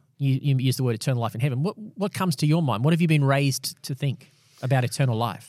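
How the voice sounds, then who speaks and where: A very fast voice with an Australian accent and lively intonation, on a very clean recording with a silent background. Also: man. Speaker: pastor and podcast host. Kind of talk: casual Bible discussion. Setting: studio recording, also filmed for video.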